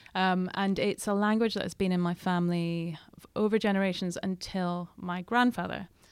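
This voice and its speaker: Speaking in a Scottish Highland accent, a woman with medium pitch talks at a moderate pace in a monotone, flat intonation, on a very clean recording with a silent background. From Scottish Highlands. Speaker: journalist and author. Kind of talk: interview.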